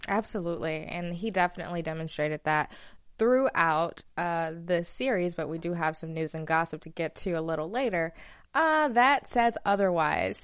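Over a quiet background, a woman with an American accent has a normal speaking voice, a fairly low pitch, ordinary pitch variation and a moderate pace. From Alabama, US South. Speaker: TV after-show host. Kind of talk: casual chat. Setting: studio.

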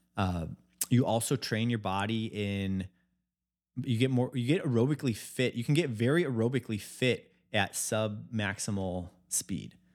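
On a very clean recording with a silent background, a man with an American accent speaks in a plain, everyday voice at medium pitch and moderate pace, with ordinary pitch variation. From US Midwest, Chicago. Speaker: health company founder. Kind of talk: casual interview chat. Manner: casual, many filler likes.

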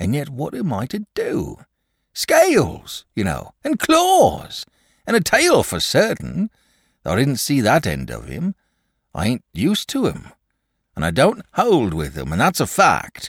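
In a put-on character voice with a slightly husky edge, a man moves through very wide pitch swings at a fairly slow pace, on a very clean recording with a silent background and a dry, close sound with no echo. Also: medium pitch for a man.

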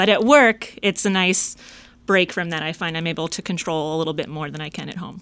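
A woman talks at a very fast pace in a fairly low, bright and sharp voice with fairly even intonation, recorded very cleanly against a silent background. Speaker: compensation specialist. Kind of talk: casual interview.

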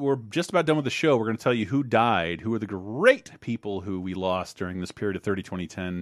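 A man with an American accent speaks at a fairly quick pace in an ordinary speaking voice, his fairly low pitch carried by lively intonation over a quiet background. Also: hardly any pauses. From Florida. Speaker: podcast host. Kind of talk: casual chat.

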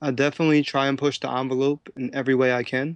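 Here a man talks fairly quickly with a Philadelphia accent. His pitch is medium. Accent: Philadelphia American. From Philadelphia, US. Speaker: professional dancer and choreographer. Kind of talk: interview. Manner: energetic.

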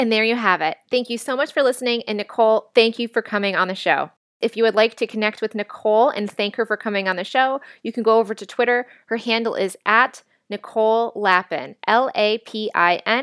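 In an unremarkable speaking voice, a woman with a fairly high pitch and ordinary pitch variation talks at a fairly quick pace, the recording very clean with a silent background and a dry, close sound with no echo. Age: 30s. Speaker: podcast host. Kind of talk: scripted narration; interview. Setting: hotel room for intro and outro; studio microphone for the interview.

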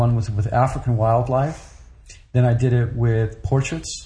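A man with an American accent speaks at a medium pitch and a moderate pace, his dark, mellow, somewhat breathy voice monotone and flat against audible room echo. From grew up in Europe (Paris, Brussels, Germany), American. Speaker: photographer. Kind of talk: interview.

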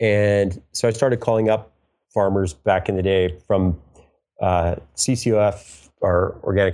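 A man's fairly low voice with an American accent, dark and mellow in tone, with ordinary pitch variation, on a very clean recording with a silent background. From New York. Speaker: organic vegetable farmer. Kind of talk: interview. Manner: halting.

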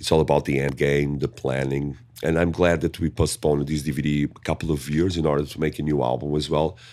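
A man with a very deep, low pitch talks at a very fast pace in a monotone, flat intonation with hardly any pauses. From Portugal. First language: Portuguese. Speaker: metal band singer. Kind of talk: interview. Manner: halting, many fillers.

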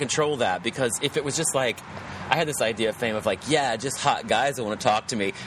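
Spoken at a fairly quick pace with an American accent and ordinary pitch variation, over noticeable background noise. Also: man. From West Virginia. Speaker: actor. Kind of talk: casual chat. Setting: poolside outdoors.

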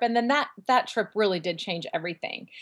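A plain, everyday voice with an American accent, in a very clean recording with a silent background. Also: woman. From Central Valley, California (Fresno). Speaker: author, former nanny. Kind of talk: interview, personal testimony.

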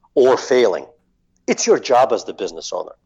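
A man with a Russian accent at a fairly quick pace against a quiet background. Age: 40s. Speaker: marketing agency owner. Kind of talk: interview.

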